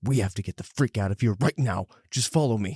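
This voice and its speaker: A man's hissing put-on character voice at medium pitch and a fairly quick pace, with a dry, close sound and no echo. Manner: hissing, urgent.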